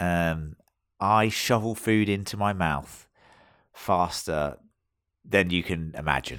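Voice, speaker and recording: A man with a British accent speaks very slowly in a very deep, low pitch, leaving long, frequent pauses. The recording is very clean, with a silent background. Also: ordinary pitch variation. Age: 30s. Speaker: podcast host. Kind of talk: casual chat.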